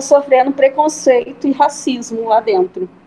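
Noticeable background noise sits under a woman talking in a high voice. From Brazil, small town. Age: 30s. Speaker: fashion entrepreneur and seamstress. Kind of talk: interview conversation. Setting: remote online recording.

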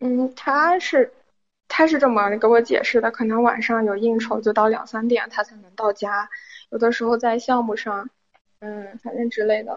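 Moderate pace from a woman with a fairly high pitch, ordinary pitch variation and big swings in loudness. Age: 20s. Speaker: caller. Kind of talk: phone-in confession. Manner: halting.

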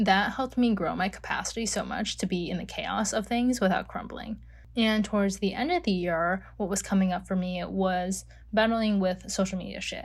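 This woman's somewhat breathy voice sits at medium pitch, moving at a moderate pace with fairly even intonation. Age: 20s. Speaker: life coach podcast host. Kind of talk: solo podcast monologue. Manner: casual, filler-heavy.

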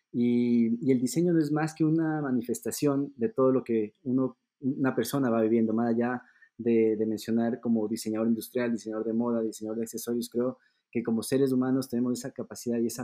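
This man has a plain, everyday voice at a medium pitch, moving at a fairly quick pace with fairly even intonation. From Ecuador. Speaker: luxury accessories designer. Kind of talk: podcast interview.

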